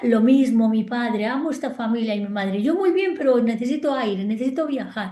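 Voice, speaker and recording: A woman's high, dark, mellow voice with lively intonation at a moderate pace, plus audible room echo. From Spain, Galicia. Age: 60s. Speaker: psychologist and family constellations therapist. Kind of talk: interview. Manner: animated.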